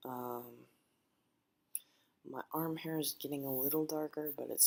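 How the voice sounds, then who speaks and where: At a moderate pace, a man speaks in a fairly high, monotone, flat voice. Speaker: vlogger. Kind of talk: personal video diary. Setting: at home, living room. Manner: quiet, others asleep; casual, hesitant with fillers.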